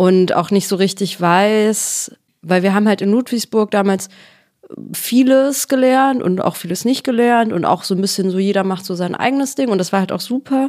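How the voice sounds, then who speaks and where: This ordinary speaking voice keeps a moderate pace, and its pitch varies in an ordinary way. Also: woman, medium pitch for a woman. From Ruhr area, Germany. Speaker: actress. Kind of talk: casual chat.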